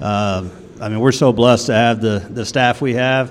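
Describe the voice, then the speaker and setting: A man with an American accent speaks at a moderate pace in a medium pitch, his intonation fairly even, with noticeable background noise behind him. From Texas, Waco. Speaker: women's basketball head coach. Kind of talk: casual interview. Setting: on campus, student union.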